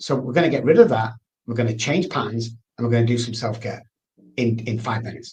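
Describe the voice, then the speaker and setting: A man's somewhat breathy voice at a very fast pace, with fairly even intonation. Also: medium pitch for a man. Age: 60s. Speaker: addiction expert. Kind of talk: interview.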